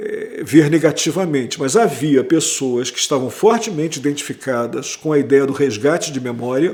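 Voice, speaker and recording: Speaking in a strong Rio de Janeiro accent, a man uses a fairly high pitch and lively intonation at a moderate pace. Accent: strong carioca. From Brazil, Rio de Janeiro. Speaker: history professor. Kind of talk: interview. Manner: conversational, with hesitations.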